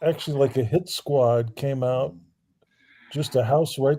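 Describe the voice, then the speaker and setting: Somewhat breathy and dark, mellow in tone, a man with an American accent speaks at a fairly slow pace with fairly even intonation. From US South, Alabama. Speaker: livestream caller. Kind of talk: casual chat.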